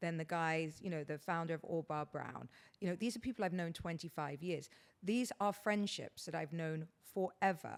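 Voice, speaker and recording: Ordinary pitch variation at a moderate pace. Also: woman, fairly low pitch for a woman. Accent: British. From England. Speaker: podcast host. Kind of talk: casual chat. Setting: guest's house.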